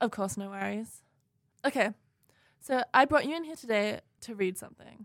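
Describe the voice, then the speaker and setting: A woman with a fairly high pitch talks at a moderate pace, with lively intonation and long, frequent pauses. Her loudness swings widely, and the sound is dry and close with no echo. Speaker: student radio host. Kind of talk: narrated investigative podcast with interview scenes. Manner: serious, earnest.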